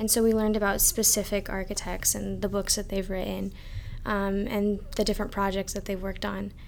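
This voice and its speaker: Speaking at a fairly quick pace, a woman is heard with audible room echo. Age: young. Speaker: architecture student. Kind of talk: casual chat.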